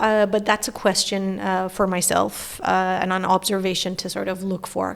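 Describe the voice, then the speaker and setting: A woman speaks at a moderate pace with a Persian accent. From Iran. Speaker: philosopher and professor. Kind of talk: podcast interview.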